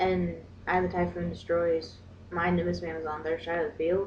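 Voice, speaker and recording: Audible room echo is heard in the recording. Through it, a woman talks. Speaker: card game YouTuber. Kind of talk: tutorial. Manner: casual, hesitant with fillers.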